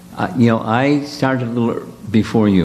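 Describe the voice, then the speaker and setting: Music in the background behind a man's medium-pitched voice, with ordinary pitch variation at a fairly slow pace. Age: 70s. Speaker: spiritual teacher leading retreat. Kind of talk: casual chat.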